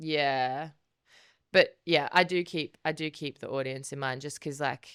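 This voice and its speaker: A woman with a very deep, low pitch and an Australian accent at a fairly slow pace, dry and close with no echo, on a very clean recording with a silent background. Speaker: rock musician. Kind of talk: casual interview.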